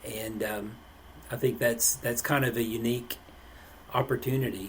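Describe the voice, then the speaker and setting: Here a man speaks with an East Tennessee accent at a medium pitch. His pace is moderate and his intonation fairly even. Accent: East Tennessee Southern. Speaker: podcast host. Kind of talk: casual podcast interview.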